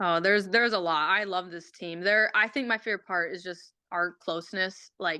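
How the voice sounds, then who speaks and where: A woman with a slight Minnesotan accent speaks at a moderate pace and medium pitch, with hardly any pauses. Her tone is bright and sharp, her intonation fairly even, against a quiet background. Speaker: college hockey player. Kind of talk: casual chat. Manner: halting.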